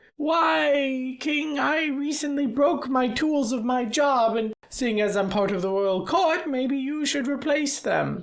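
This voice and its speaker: A man uses a put-on character voice at an extremely high pitch, moving at a fairly slow pace with hardly any pauses. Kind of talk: comic overacting. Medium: actual play. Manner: exaggerated, theatrical.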